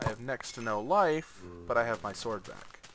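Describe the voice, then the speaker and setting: A man at medium pitch and a fairly slow pace, with noticeable background noise. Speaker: gaming youtuber. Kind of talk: gameplay tutorial commentary. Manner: halting.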